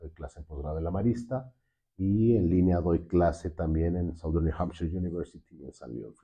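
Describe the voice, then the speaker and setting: A man's very deep, low voice, somewhat breathy, at a moderate pace. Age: 60s. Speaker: finance director and university lecturer. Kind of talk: interview.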